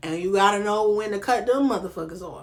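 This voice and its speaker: In a strong Southern US accent, a woman talks in an animated tone, with audible room echo in the recording. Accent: heavy Southern US. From North Carolina. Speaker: reality TV commentary vlogger. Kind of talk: casual vlog commentary.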